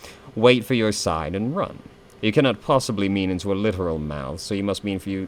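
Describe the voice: The voice is plain reading aloud. Each line is simply read out.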